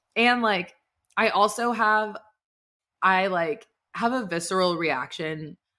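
A woman speaks with an American accent and lively intonation. Her tone is bright and sharp. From Texas, Dallas. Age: 20s. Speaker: podcast host. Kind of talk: casual chat. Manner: animated.

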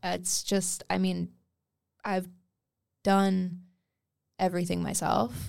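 Speaking with a Canadian accent, a woman goes at a very slow pace and leaves long, frequent pauses. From Wales, moved to Canada at 8. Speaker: pop singer and producer. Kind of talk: casual chat.

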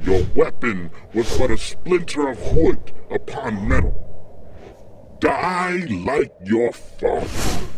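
At a very slow pace, a man performs a put-on character voice. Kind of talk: dark fantasy audio drama villain. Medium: audio drama. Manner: menacing, gloating.

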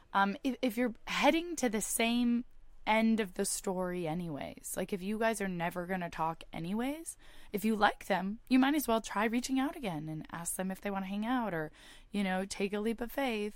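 In a Californian accent, a woman speaks with lively intonation. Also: fairly high pitch for a woman, moderate pace. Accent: Californian American. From US, San Francisco Bay Area. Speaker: startup founder and podcast host. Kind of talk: interview.

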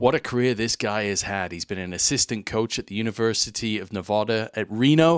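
A plain, everyday voice moves at a fairly quick pace with hardly any pauses. The sound is dry and close with no echo, on a very clean recording with a silent background. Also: man, fairly low pitch for a man, ordinary pitch variation. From Canada (Winnipeg), then England. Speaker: sports podcast host. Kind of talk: interview; scripted narration.

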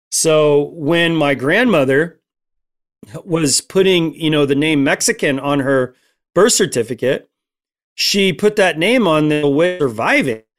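With an unremarkable speaking voice, a man at a fairly high pitch talks at a fairly slow pace with lively intonation on a very clean recording with a silent background. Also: very even loudness. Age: 40s. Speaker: Apache drummer and guest speaker. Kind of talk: casual interview.

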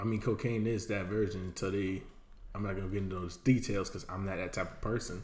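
Somewhat breathy and very fast, a man with a fairly low voice speaks with an American accent amid audible room echo. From Miami, Florida. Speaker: podcast co-host. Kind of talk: casual chat.

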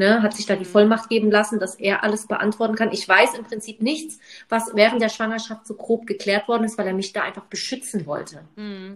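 A woman with an unremarkable speaking voice talks at a fairly quick pace and a fairly high pitch, her intonation fairly even and her loudness swinging widely. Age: 30s. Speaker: podcast co-host. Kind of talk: casual chat.

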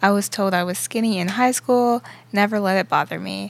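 A woman talks at a moderate pace in a plain, everyday voice. The recording is very clean, with a silent background. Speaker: co-host. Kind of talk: casual religious talk show.

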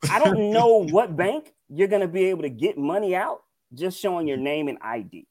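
In a Mississippi accent, a man talks at a high pitch and a moderate pace, with very wide pitch swings. The recording is very clean, with a silent background. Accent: Southern US (Mississippi). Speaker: podcast co-host. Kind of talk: casual chat.

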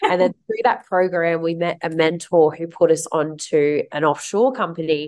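A woman speaks in an unremarkable speaking voice, fairly low in pitch with ordinary pitch variation. Her pace is moderate, with hardly any pauses. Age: 30s. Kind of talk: interview.

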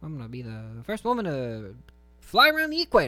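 A man performs a put-on character voice. He talks at a fairly quick pace.

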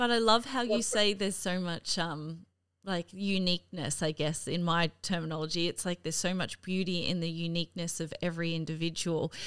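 Someone with an Australian accent talks at a fairly quick pace with fairly even intonation. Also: woman, fairly low pitch for a woman. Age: 30s. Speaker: podcast host. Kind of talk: casual interview. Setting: video call.

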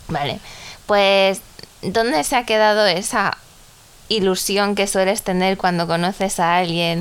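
A woman at medium pitch and a fairly slow pace, with fairly even intonation, very even loudness and long, frequent pauses. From Ecuador. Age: 20s. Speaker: podcast co-host. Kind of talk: casual chat.

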